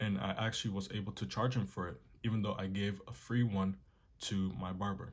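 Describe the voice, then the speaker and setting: A man talks at a fairly quick pace in a fairly low pitch. His voice is somewhat breathy. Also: ordinary pitch variation. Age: young. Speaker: artist and art tutorial youtuber. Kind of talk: tutorial. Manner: casual, conversational.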